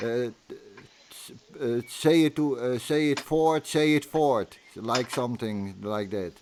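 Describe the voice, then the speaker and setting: Very slow and medium in pitch, a man with a Dutch accent shows ordinary pitch variation and big swings in loudness. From Netherlands. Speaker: channel host, interviewer. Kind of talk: casual conversation. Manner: halting, many fillers.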